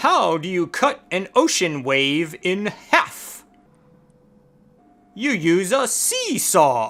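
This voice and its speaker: Using a put-on character voice at middle pitch, the speaker moves at a very slow pace with very wide pitch swings and long, frequent pauses. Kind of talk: joke telling for children. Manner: playful, upbeat.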